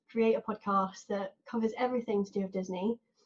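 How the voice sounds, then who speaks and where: Somewhat breathy, a woman with a southern English accent speaks at a fairly high pitch in a dark, mellow tone. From southern England. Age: 20s. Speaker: podcast host. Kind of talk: casual chat.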